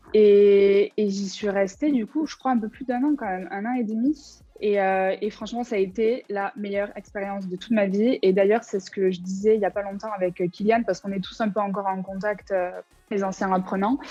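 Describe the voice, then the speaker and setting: A woman with a dark, mellow tone talks at a moderate pace and medium pitch, her intonation fairly even. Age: 20s. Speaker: former student, graphic designer. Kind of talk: interview testimony. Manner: casual, hesitant with many fillers.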